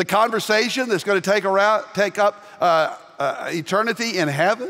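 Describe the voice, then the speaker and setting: A man's raised, projected voice, high in pitch, with a Southern US accent against a quiet background. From US South. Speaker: pastor. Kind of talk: sermon. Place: church. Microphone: headset.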